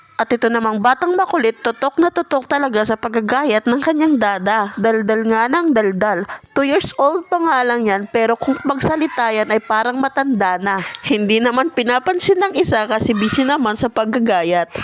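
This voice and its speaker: Pitched fairly high, a woman speaks at a moderate pace with lively intonation and very even loudness, with noticeable background noise behind her. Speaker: vlogger. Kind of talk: scripted voice-over narration. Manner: stumbling over words.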